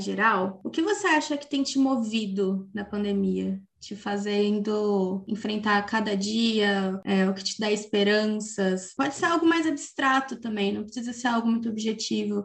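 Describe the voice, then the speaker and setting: A woman speaks at a fairly slow pace with hardly any pauses, her fairly high pitch showing ordinary variation. Noticeable background noise is present. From interior of São Paulo state, Brazil. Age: 20s. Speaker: podcast host, journalist. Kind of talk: scripted narration; casual interview.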